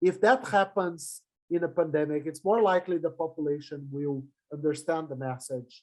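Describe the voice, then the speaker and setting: A man's dark, mellow voice in a Portuguese accent, at a moderate pace with ordinary pitch variation. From Brazil. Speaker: public health professor. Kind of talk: lecture. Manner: halting.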